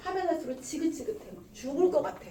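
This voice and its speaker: With an animated tone, a woman talks at a moderate pace, with noticeable background noise and audible room echo. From South Korea, Gumi (Gyeongsang). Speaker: network marketing leader and seminar speaker. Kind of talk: motivational business seminar talk. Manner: animated, exhorting.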